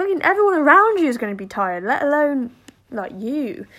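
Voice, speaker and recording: Here a woman speaks at a high pitch with very wide pitch swings. The recording is very clean, with a silent background. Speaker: podcast host. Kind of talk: solo monologue podcast. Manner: rambling, filler-heavy.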